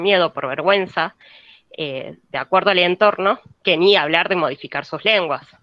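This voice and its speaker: A woman at a fairly slow pace, in a Buenos Aires accent. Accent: Buenos Aires (porteño). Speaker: university student. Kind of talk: class discussion comment. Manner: halting, many fillers.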